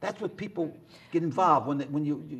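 With a slightly husky edge, a man talks at a fairly high pitch with ordinary pitch variation.

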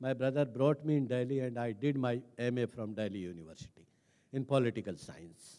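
With an Indian accent, this man speaks at a fairly quick pace in a dark, mellow tone with ordinary pitch variation. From India, Rajasthan village. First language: Hindi. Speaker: senior civil servant; speaker. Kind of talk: talk; public talk, personal story. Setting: stage with audience. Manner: hesitant, frequent fillers. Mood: calm reflective storytelling. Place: stage. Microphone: handheld.

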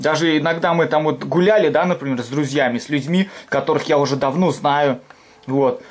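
A man with a fairly high pitch speaks at a moderate pace, with ordinary pitch variation. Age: 20s. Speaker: video blogger doing food reviews; food reviewer vlogger. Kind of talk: casual vlog monologue. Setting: home kitchen. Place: home room. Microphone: phone near.

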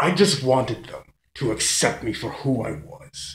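A put-on character voice, raspy and menacing in tone. It moves at a fairly slow pace. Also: man. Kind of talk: villain monologue. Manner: gloating, menacing.

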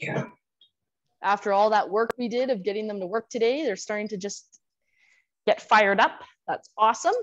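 Upbeat in tone, a woman talks at a moderate pace in a fairly high pitch with ordinary pitch variation and long, frequent pauses. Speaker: fitness instructor. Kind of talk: live online exercise class, guided instruction and cueing. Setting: video call class with participants. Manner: upbeat, encouraging, clear paced coaching.

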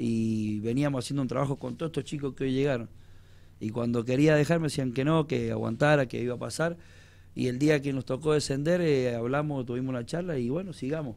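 Pitch varies in an ordinary way as the delivery runs fairly quick. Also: man, medium pitch for a man. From Argentina. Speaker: football coach. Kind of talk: radio interview. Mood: emotional, grateful. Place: studio. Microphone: handheld.

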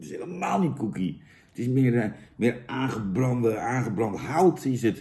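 A man's somewhat breathy voice with a dark, mellow tone, lively intonation, big swings in loudness and a fairly slow pace. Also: quiet background. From Netherlands. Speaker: product reviewer, comedian; product reviewer. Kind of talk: comedic product review; casual comic review chat. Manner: animated; halting. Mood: mock disgust, sarcastic. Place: home room. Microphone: camera far.

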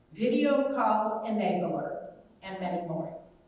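A woman speaks in a room with strong echo. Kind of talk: eulogy reading. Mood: warm, tender, composed. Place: hall.

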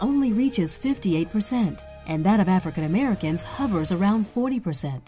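A woman's medium-pitched voice at a moderate pace, swinging very widely in pitch, with music in the background. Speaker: voice actor. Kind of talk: corporate narration.

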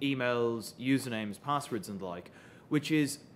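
The voice is a man's, with ordinary pitch variation. Light background noise can be heard. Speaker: presenter. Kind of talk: conference talk. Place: hall.

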